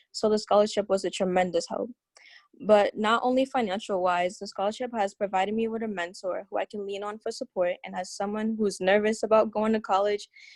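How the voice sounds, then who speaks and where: A plain, everyday voice with an American accent moves at a fairly quick pace with fairly even intonation. The sound is dry and close with no echo over a quiet background. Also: woman. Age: 18. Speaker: scholarship recipient, incoming college student. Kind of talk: panel remarks, partly read aloud.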